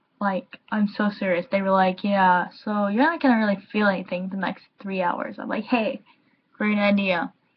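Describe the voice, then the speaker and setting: A woman talks at a medium pitch and a moderate pace. Her somewhat breathy voice has ordinary pitch variation. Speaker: YouTuber vlogger. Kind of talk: casual vlog. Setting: home, recording via webcam. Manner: slurred, impaired articulation.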